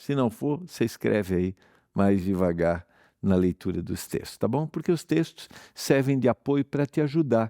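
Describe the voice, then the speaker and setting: In a very clean recording with a silent background and a dry, close sound with no echo, a man speaks fairly slowly in a dark, mellow tone with very wide pitch swings. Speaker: pastor, Bible teacher. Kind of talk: televised Bible study.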